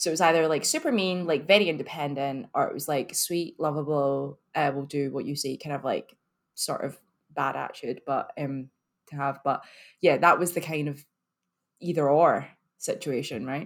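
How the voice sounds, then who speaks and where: A woman's very deep, low voice with an ordinary pitch variation in a Scottish accent, on a very clean recording with a silent background. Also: moderate pace. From Scotland, Glasgow. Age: 30s. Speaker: marketing professional. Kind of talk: casual chat. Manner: animated.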